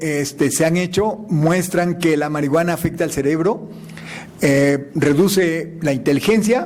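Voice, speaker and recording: Amid noticeable background noise and audible room echo, a man speaks at a fairly slow pace in a high pitch with ordinary pitch variation. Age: 60s. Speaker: scientist giving a lecture. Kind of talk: answering audience question; lecture.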